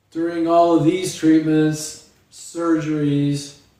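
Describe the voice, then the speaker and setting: Monotone, flat intonation from a man, with audible room echo. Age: 60s. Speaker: memoir author, quadriplegic. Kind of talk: reading aloud. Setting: live stream.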